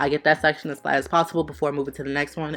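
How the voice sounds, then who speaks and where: A woman speaks at a very fast pace with a very deep, low pitch. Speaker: beauty YouTuber. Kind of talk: tutorial. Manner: casual.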